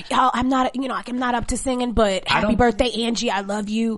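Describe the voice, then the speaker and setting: Putting on a character voice, a woman speaks at a moderate pace in a high pitch that sounds hoarse and strained, with noticeable background noise. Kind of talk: weak, strained speech.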